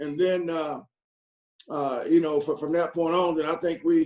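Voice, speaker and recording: A man speaks in a Southern US accent at a moderate pace. His pitch is fairly high and his intonation fairly even. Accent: country Southern. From North Carolina. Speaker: football coach. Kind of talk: press conference Q&A. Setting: video call. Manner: halting, many repetitions and fillers.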